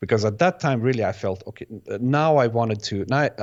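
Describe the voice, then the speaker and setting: A man with a Bosnian accent talks at medium pitch with ordinary pitch variation. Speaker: electronic music producer and DJ. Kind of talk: interview. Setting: video podcast. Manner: halting, many false starts and repeats.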